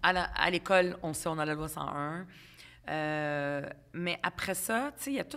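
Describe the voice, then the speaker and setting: Over a quiet background, a woman with a fairly low pitch and a bright, sharp tone speaks very slowly, with long, frequent pauses and big swings in loudness. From Quebec, Montreal (Ville-Saint-Laurent), immigrant from Lebanon as child; Quebec. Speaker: politician. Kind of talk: podcast interview. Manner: casual, hesitant with fillers. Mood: warm, reminiscing. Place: home room. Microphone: studio mic.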